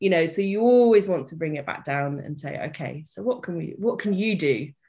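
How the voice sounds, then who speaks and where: A woman with a British accent, a dark, mellow tone, lively intonation and a fairly quick pace, against a quiet background. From Britain. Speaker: development worker and life coach. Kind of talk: casual interview chat. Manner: chipper, bubbly.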